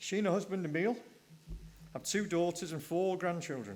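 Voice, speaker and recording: A man with a Welsh accent speaks at a fairly quick pace. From Wales. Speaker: session chair. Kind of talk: speaker introduction.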